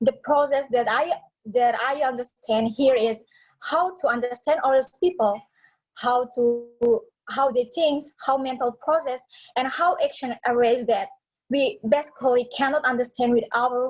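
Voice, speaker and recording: Fairly slowly, a woman speaks at a high pitch. Her loudness stays very even. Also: ordinary pitch variation. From Indonesia, Atambua (West Timor). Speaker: psychology student. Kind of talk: personal story in class. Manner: halting.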